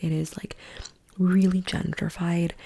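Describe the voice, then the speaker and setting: Soft-spoken and relaxed in tone, a woman talks at a fairly slow pace and a fairly low pitch over noticeable background noise. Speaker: ASMR content creator, travel storyteller. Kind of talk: ASMR yap, casual talk to camera. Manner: soft-spoken, relaxed, chatty.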